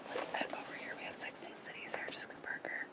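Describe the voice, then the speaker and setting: A whisper with noticeable noise behind it. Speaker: ASMR creator. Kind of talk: ASMR whispered magazine flip-through. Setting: ocean waves noise in background. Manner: whispered.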